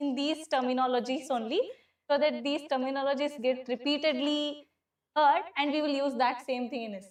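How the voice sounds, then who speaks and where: A loud woman with an Indian accent, high in pitch, with fairly even intonation at a moderate pace. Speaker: civil service exam teacher. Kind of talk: classroom lecture. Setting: classroom with students.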